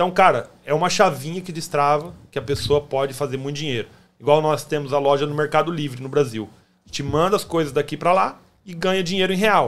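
Fairly quick speech from a man at a fairly high pitch, with ordinary pitch variation. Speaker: podcast host. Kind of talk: casual interview chat.

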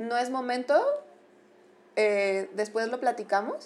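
This is a woman speaking. Her pace is very slow. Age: 30s. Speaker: clinical psychologist. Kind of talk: casual interview.

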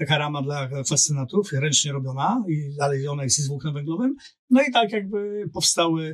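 Somewhat breathy, a fairly high-pitched man speaks. His pace is moderate. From Poland, Olsztyn. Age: 50s. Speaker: LinkedIn coach and business strategist. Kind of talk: casual interview chat.

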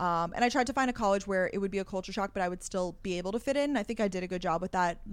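On a very clean recording with a silent background, a woman talks at a very fast pace with ordinary pitch variation. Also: medium pitch for a woman. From Long Island, New York. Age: 20s. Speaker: content creator and podcaster. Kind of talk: casual interview.

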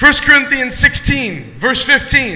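A man with an American accent speaks in a raised, projected voice at an extremely high pitch. Audible room echo and noticeable background noise surround him. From Ohio. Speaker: guest pastor. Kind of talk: sermon. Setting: church.

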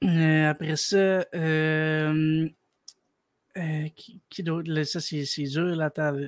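In a very clean, dry, close recording with a silent background and no echo, a man with a Quebec accent speaks in a flat monotone at a fairly high pitch and a very slow pace, with long, frequent pauses. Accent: Québécois French. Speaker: caller, hockey fan. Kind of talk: casual chat. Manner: halting.

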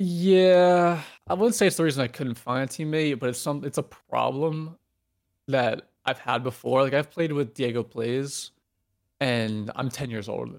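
A man with an unremarkable speaking voice at a moderate pace, ordinary pitch variation, on a very clean recording with a silent background. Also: fairly high pitch for a man. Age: 20s. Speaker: retired pro gamer. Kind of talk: casual interview.

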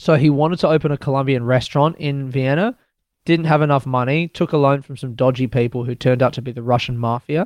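Speaking very fast with an Australian accent, this man has a fairly high pitch and fairly even intonation. The sound is dry and close with no echo, over a quiet background. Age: 30s. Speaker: stand-up comedian. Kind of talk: casual interview with storytelling.

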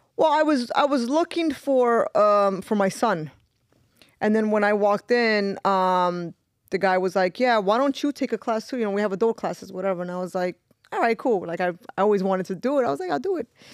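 A woman with a New York accent talks at a fairly quick pace, her pitch fairly high and her intonation lively. The recording is very clean with a silent background and a dry, close sound with no echo. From New York, Brooklyn (East New York). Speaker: pro fighter. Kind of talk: casual chat.

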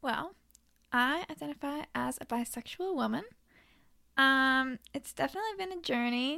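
At a moderate pace, a woman projects a raised voice with a high pitch and lively intonation, leaving long, frequent pauses. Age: 20s. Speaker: true crime podcaster and restaurant worker. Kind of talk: casual interview chat.

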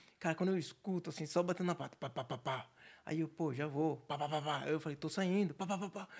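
A man's fairly high voice at a very fast pace, on a very clean recording with a silent background. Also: ordinary pitch variation. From Santos, São Paulo state, Brazil. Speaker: entrepreneur. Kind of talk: casual chat.

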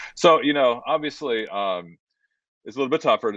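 A fairly quick-paced man in an American accent. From Southern California, San Diego. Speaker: footwear creative director and bourbon entrepreneur. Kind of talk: interview. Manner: halting, many fillers.

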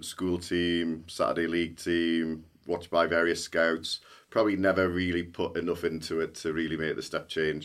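Monotone and flat, a man with a very deep, low pitch speaks at a moderate pace in a very clean recording with a silent background. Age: 40s. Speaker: tech company CEO. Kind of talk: podcast interview.

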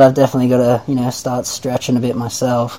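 A man talks with an Australian accent. Noticeable background noise is present. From Australia, Nelson Bay NSW. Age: 20s. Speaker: bodyboarder. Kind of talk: casual chat.

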